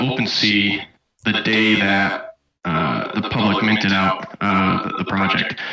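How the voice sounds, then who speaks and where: A man with an American accent at a very slow pace and monotone, flat intonation, with audible room echo and music in the background. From US, central New York State. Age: 20s. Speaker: community member interviewee. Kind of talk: casual interview.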